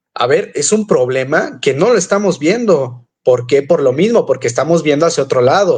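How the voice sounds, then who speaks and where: Speaking at a moderate pace with hardly any pauses, a man uses a high pitch and lively intonation while his loudness stays very even. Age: 20s. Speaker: entrepreneur, debater. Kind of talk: debate.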